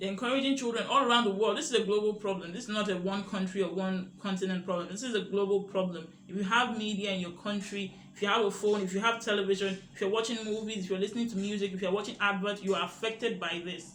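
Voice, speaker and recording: With a high pitch and an animated tone, a man talks at a very fast pace with hardly any pauses over noticeable background noise. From Nigeria. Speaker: media literacy educator. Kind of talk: educational monologue.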